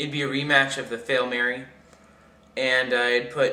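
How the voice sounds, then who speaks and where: Mumbling at a moderate pace, a man with a fairly high voice speaks in a monotone, flat way amid noticeable background noise. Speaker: sports fan vlogger. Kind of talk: casual talk to camera. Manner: mumbling, hesitant.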